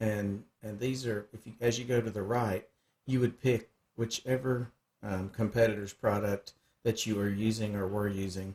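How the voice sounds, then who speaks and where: A man speaks with a Southern US accent at a moderate pace, his pitch fairly low. His delivery is somewhat breathy, with monotone, flat intonation. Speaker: cutting tools sales rep. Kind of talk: screen-share software tutorial. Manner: casual, hesitant with frequent fillers; words run together.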